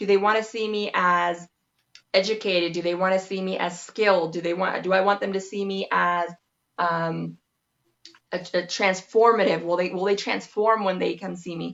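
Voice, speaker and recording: With a Spanish accent, a woman speaks at a moderate pace in a monotone, flat intonation. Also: medium pitch for a woman. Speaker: massage therapist, branding expert. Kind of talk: interview.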